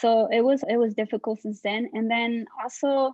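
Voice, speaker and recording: She speaks with a Spanish accent at a fairly high pitch. Her intonation stays fairly even. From Mexico. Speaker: artist and small business owner. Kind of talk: interview. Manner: halting.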